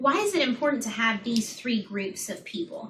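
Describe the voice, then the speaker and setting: Over noticeable background noise, a woman with an American accent talks at a moderate pace in a high pitch. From Florida. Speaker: public health lecturer. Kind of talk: lecture.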